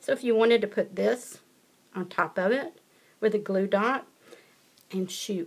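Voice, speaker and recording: With a Southern US accent and a fairly high pitch, a woman talks at a fairly slow pace with ordinary pitch variation against noticeable background noise. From US South. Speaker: paper craft demonstrator. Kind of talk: tutorial. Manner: casual, chatty.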